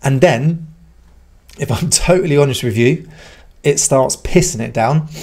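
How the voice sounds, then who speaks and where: A somewhat breathy man at a fairly quick pace against a quiet background. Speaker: channel host. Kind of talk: casual vlog chat. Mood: relaxed, reflective, some laughs. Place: garage. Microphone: studio mic.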